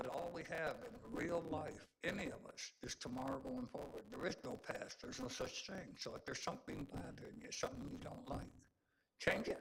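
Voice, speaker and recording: A man speaks at a moderate pace in a high voice, his pitch swinging very widely. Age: 80s+. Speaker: community advocate speaking at public comment. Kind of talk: public comment at council meeting. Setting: city council meeting. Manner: rambling, halting.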